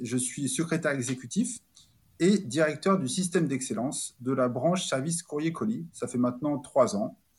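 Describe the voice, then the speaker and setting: A man's somewhat breathy, fairly high-pitched voice with lively intonation at a moderate pace. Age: 30s. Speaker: corporate operational excellence director. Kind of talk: interview. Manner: halting.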